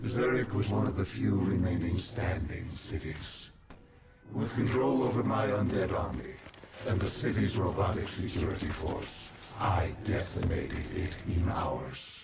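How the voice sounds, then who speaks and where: In a cartoonish character voice, a man speaks with a very deep, low pitch at a moderate pace. There is a slight echo and clear background noise. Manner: menacing, contemptuous.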